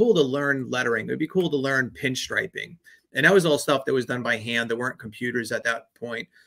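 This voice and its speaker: A man talks at a very fast pace with a slight New York accent. His tone is bright and sharp, with ordinary pitch variation. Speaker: branding agency owner. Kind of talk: podcast interview.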